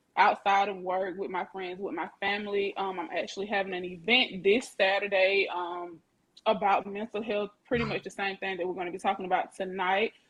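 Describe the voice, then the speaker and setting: Monotone, flat intonation from a woman at medium pitch with a Southern Alabama accent. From US South, Lanett, Alabama. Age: 20s. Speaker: mental health advocate and makeup artist. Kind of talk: self-introduction on a podcast.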